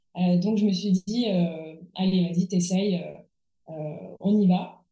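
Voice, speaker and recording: A woman's medium-pitched, somewhat breathy voice with a dark, mellow tone and fairly even intonation. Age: 30s. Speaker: furniture restorer. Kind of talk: interview. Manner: halting.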